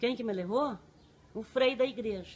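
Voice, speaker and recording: A woman is speaking. Her pace is moderate. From Paraná interior, Brazil (Laranjeiras do Sul area). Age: 50s. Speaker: general services worker. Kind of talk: life story interview.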